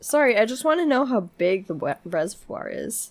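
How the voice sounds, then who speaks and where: A woman speaks at a fairly high pitch with vocal fry. Her pitch swings very widely. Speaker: podcast co-host. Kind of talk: casual chat. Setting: private home.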